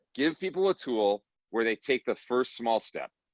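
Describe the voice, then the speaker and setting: Against a quiet background, the dry, close sound with no echo carries an animated tone, lively intonation and a moderate pace. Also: man. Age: 40s. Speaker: author and neighboring ministry leader. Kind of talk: webinar panel discussion. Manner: animated, with frequent restarts.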